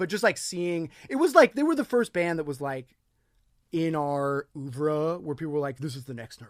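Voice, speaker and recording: Man with an unremarkable speaking voice. He has a fairly high pitch and talks at a moderate pace. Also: dry, close sound with no echo. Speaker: rock singer. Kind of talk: casual chat.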